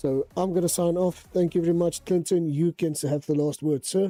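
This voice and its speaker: Music plays in the background as a man talks at a moderate pace in a dry, close sound with no echo. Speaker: sim racing league organiser. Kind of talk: closing announcements on livestream. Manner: halting.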